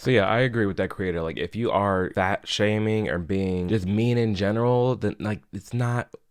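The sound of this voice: The voice has a clear, smooth tone, ordinary pitch variation and a moderate pace. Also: man, fairly low pitch for a man.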